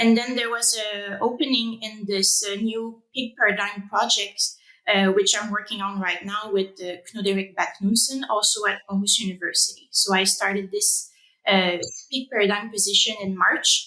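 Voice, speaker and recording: A woman with a French Canadian accent speaks at a moderate pace, her medium-pitched voice following a fairly even intonation. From Quebec, Canada (Rimouski). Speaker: animal science researcher. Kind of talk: interview. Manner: hesitant, many fillers.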